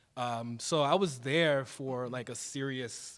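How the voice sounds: A man of medium pitch talks with fairly even intonation.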